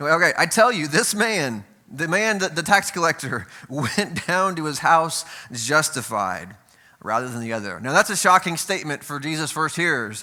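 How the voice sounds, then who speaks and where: Here a man talks at a moderate pace. His fairly high pitch moves in very wide swings. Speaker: preacher. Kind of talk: sermon.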